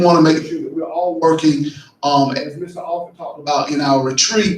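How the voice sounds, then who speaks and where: With an American accent, a man at fairly high pitch talks at a fairly quick pace with ordinary pitch variation, and audible room echo surrounds him. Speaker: county commissioner. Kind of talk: public meeting presentation. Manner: loud. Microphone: faulty mic cutting in and out.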